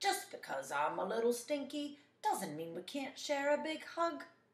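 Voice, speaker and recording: A woman uses a high-pitched, put-on character voice at a moderate pace. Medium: read story.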